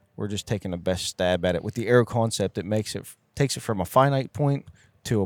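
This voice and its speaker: The recording is very clean with a silent background, carrying a man's fairly low voice in a dry, close sound with no echo. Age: 40s. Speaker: custom arrow builder. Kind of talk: casual chat. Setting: trade show floor.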